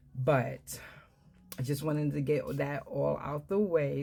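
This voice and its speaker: A woman speaks in a New York accent at a very deep, low pitch. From Brooklyn, New York. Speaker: herbalist and wellness business owner. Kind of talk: product explainer talk. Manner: frequent fillers (um).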